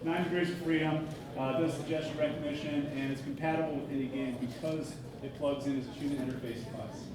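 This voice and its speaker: A man speaks very fast in a flat monotone. The room echo is audible, and there is noticeable background noise. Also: fairly high pitch for a man. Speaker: startup founder presenting a product. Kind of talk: conference talk. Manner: loud.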